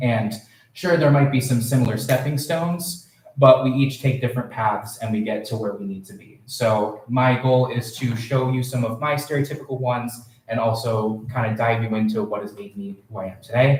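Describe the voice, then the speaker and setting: Speaking at a moderate pace, a man uses a medium pitch with ordinary pitch variation and big swings in loudness. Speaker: student poet. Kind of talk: poetry reading.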